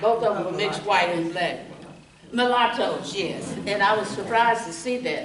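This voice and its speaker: A woman with an American accent at a fairly high pitch, ordinary pitch variation and a moderate pace, amid audible room echo and noticeable background noise. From Texas, Round Rock. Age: 70s. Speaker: retired nurse, local history speaker. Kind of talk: oral history talk to audience.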